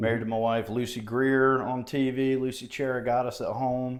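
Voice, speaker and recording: The speaker has an Alabama accent and talks in a monotone, flat intonation. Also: man. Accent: Southern US (Alabama). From southeast Alabama, US South. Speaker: mayoral candidate, former judge and prosecutor. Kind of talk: podcast interview.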